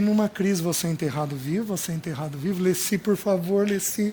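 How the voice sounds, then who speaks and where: The pitch shifts in an ordinary way. The delivery keeps a moderate pace. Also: man. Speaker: preacher. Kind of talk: sermon.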